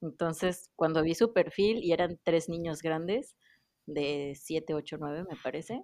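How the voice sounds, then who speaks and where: A woman's plain, everyday voice, fairly low in pitch, with big swings in loudness, ordinary pitch variation and a fairly slow pace. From Mexico. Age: 30s. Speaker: dentist and former au pair. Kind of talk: casual chat.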